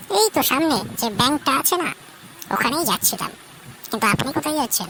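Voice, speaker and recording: Using a cartoonish character voice, a high-pitched woman moves at a fairly quick pace with very wide pitch swings and very even loudness, with clear background noise behind her. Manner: sharp, guarded.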